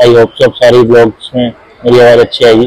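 Speaking fairly quickly, a man keeps a monotone, flat intonation with a slightly mellow tone. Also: medium pitch for a man.

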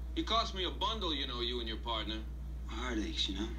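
Light background noise sits behind a man whose very deep, low pitch comes with vocal fry and monotone, flat intonation. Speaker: actor playing repossession man. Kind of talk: scripted drama dialogue. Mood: defensive, irritated. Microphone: old recording.

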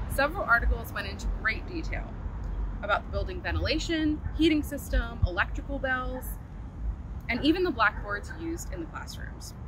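Noticeable background noise sits behind a woman talking at a fairly quick pace. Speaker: walking tour guide. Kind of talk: historical tour presentation. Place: open country.

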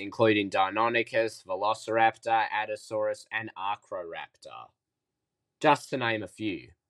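The pace is fairly slow. It is a plain, everyday voice. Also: man. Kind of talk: educational documentary narration.

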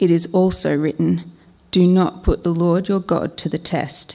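Over a quiet background, a woman with an Australian accent speaks at a moderate pace in a fairly low pitch, her tone dark and mellow and her intonation monotone and flat. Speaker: lay Bible reader. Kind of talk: reading aloud. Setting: church. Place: church. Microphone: podium.

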